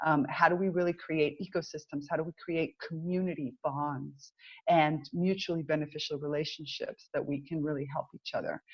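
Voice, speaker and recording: In an American accent, a woman talks with a very deep, low pitch. Her pace is moderate and her intonation fairly even. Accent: American accent, noticeable. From Cuban American, US. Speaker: business mentor. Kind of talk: interview conversation.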